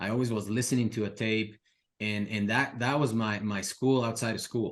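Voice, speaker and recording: A man with a Spanish accent speaks at a medium pitch and a moderate pace. His intonation is monotone and flat. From Ecuador, Quito. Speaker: real estate investor and mentor. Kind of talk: podcast interview.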